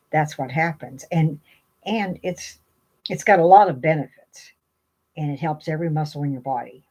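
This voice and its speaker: A woman's very deep, low-pitched voice with a dark, mellow tone, ordinary pitch variation and a moderate pace. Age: 70s. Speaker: vlogger giving aging and wellness advice. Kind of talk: casual talk to camera. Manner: halting, with many fillers.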